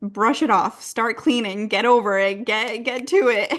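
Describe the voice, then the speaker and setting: A woman's fairly high voice at a fairly slow pace, with ordinary pitch variation, over a quiet background. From US, Massachusetts. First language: Spanish. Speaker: trauma and somatic therapist. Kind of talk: podcast interview.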